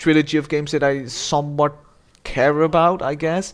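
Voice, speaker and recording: On a very clean recording with a silent background, a man with a non-native accent speaks at a moderate pace in a fairly high voice. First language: not English. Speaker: gaming YouTuber. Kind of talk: unscripted video game review monologue. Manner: rambling, halting with many false starts.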